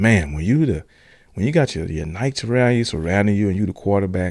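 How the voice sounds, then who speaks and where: Lively intonation and an animated tone come through on a very clean recording with a silent background. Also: man. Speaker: podcast host. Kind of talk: casual solo podcast talk. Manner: fast.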